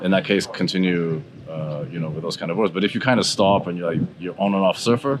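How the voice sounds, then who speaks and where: A man speaks with a very deep, low pitch and ordinary pitch variation. Background noise is noticeable. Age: 60s. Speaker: surfer and surfboard shaper. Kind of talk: interview answer. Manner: casual, conversational.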